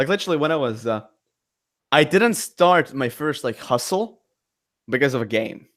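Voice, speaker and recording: A man with a Latvian accent at a moderate pace, lively intonation and long, frequent pauses. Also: very clean recording, silent background. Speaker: entrepreneur and content creator. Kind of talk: casual podcast chat. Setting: live stream. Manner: halting, many repeated words.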